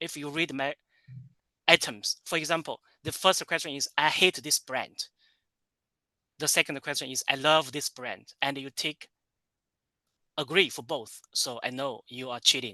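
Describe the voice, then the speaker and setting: Long, frequent pauses and big swings in loudness, with a bright, sharp tone and a Chinese accent. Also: man, fairly high pitch for a man, fairly even intonation, moderate pace, dry, close sound with no echo, quiet background. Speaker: tourism professor. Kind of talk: lecture. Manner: halting, many fillers and repetitions.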